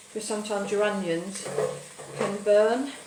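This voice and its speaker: Speaking at a moderate pace with an Essex accent, a woman's fairly high voice comes through noticeable background noise and audible room echo. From Essex, England. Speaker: cooking show host, former comedy performer. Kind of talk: live cooking stream chat. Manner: animated.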